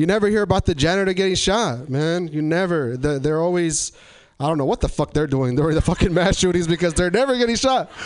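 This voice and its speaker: A man's high-pitched, animated voice with an American accent, very fast pace, lively intonation and very even loudness, over noticeable background noise. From Eastern Washington, Tri-Cities. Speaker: comedy showcase host. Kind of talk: stand-up. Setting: stage with audience.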